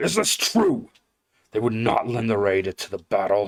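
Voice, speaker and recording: A man's growling, put-on character voice at medium pitch and a moderate pace. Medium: read story. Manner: commanding, grave.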